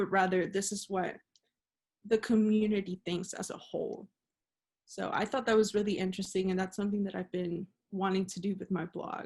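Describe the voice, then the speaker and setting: A woman speaks at a medium pitch in a somewhat breathy voice with monotone, flat intonation. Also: fairly quick pace. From Monterrey, Mexico and Laredo, Texas. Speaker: journalism student. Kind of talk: interview answer.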